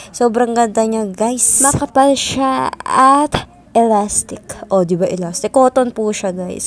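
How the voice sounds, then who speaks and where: A woman with a fairly high voice and ordinary pitch variation speaks fairly slowly against noticeable background noise. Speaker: vlogger. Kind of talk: casual vlog narration. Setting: at home at night.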